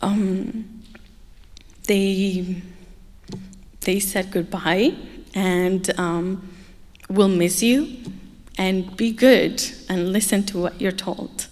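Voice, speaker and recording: A woman with an Arabic accent and medium pitch, fairly even intonation, a very slow pace and long, frequent pauses, with music in the background. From Egypt. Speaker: human trafficking survivor speaker. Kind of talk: testimony. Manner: hesitant, many fillers.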